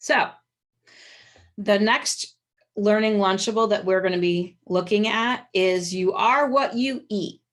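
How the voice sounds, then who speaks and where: A woman's ordinary speaking voice at a fairly slow pace, with fairly even intonation. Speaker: webinar presenter for small business marketing. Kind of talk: webinar presentation. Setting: video call.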